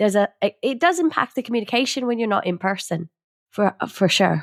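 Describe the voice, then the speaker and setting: A plain, everyday voice moves at a fairly quick pace with lively intonation. The sound is dry and close, with no echo. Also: woman, very clean recording, silent background. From Canada. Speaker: podcast co-host. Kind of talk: podcast interview.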